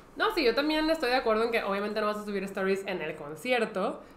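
With a Mexican accent, a woman speaks at a very fast pace with very wide pitch swings, and the recording has audible room echo and light background noise. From Mexico. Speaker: podcast co-host. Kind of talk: casual chat. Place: studio.

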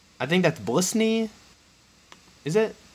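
A man talks fairly quickly, with noticeable background noise in the recording. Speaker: YouTuber. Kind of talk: casual solo video commentary. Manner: hesitant with many fillers.

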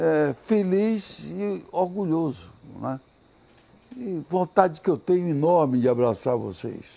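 With very wide pitch swings, a man speaks at a very slow pace. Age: 80s+. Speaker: politician. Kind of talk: campaign video statement to supporters. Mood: grateful, emphatic. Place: garden. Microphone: lapel.

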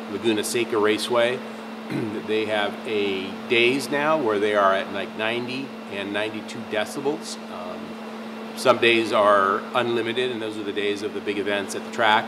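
Over noticeable background noise, a man with a fairly low pitch talks at a moderate pace with ordinary pitch variation. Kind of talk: product explainer to camera. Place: workshop.

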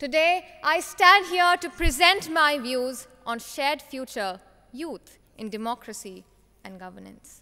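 A woman uses a raised, projected voice at a fairly slow pace. Her pitch swings very widely and her loudness shifts a great deal. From Himachal Pradesh, India. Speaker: youth parliament contest winner; speaker. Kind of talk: prepared competition speech; formal speech. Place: hall. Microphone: podium.

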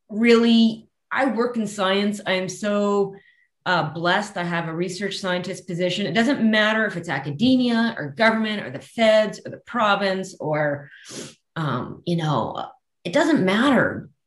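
A woman with a Canadian accent speaks at a fairly slow pace with lively intonation and big swings in loudness, her voice carrying audible room echo. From interior of British Columbia, Canada. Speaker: forest scientist; guest. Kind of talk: casual interview chat. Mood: warm, enthusiastic. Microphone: video call.

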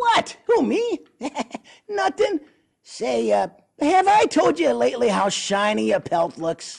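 In a put-on character voice, the speaker goes at a fairly slow pace with long, frequent pauses. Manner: wisecracking, hustling.

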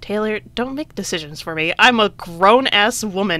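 An unforced voice reads aloud. Its pitch moves in an ordinary way.

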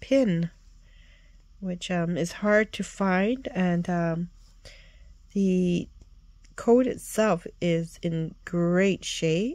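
A woman speaks very slowly, with long, frequent pauses and ordinary pitch variation. The sound is dry with no echo, and the background is quiet. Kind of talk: casual show-and-tell vlog. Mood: enthusiastic, admiring. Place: home room. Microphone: phone near.

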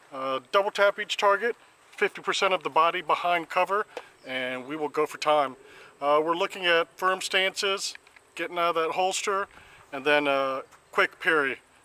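Here a man speaks at a moderate pace in a high voice with ordinary pitch variation. The sound is dry, with no echo. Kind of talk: casual tutorial explanation. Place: open country.

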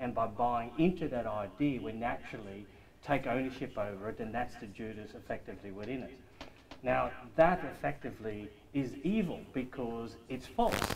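A man at a moderate pace with lively intonation, light background noise behind him. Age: 50s. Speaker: study group member. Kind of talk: group discussion. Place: meeting room. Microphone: camera far.

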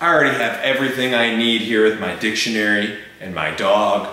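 A man talks at a moderate pace, and the room echo is audible. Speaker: fundraiser host. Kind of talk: scripted humorous appeal. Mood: playful, mock-formal. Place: home room.

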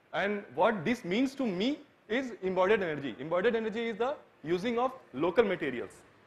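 At a fairly quick pace, a man talks with lively intonation and a high pitch. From India. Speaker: architecture student; presenter. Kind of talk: presentation. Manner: halting. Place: hall.

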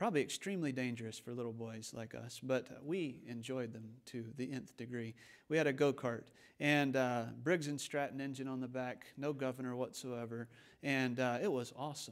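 With the background quiet, a man speaks at a moderate pace and ordinary pitch variation. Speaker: preacher. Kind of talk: sermon. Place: church. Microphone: podium.

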